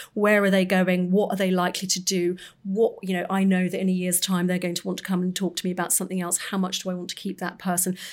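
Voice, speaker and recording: Very fast, flat, monotone speech from a woman with hardly any pauses, on a very clean recording with a silent background. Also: medium pitch for a woman. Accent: London. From North London. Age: 50s. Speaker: magazine editor. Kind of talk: casual chat.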